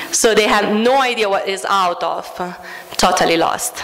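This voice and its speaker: A woman speaks at a medium pitch with an Italian accent and ordinary pitch variation. Noticeable background noise and audible room echo surround her voice. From Italy. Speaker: food studies educator. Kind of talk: conference talk.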